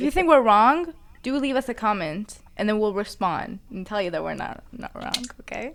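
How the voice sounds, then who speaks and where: A woman with a Persian accent, fairly high pitch, very wide pitch swings, big swings in loudness and a moderate pace. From Iran. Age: 20s. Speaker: podcast co-host. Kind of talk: casual chat.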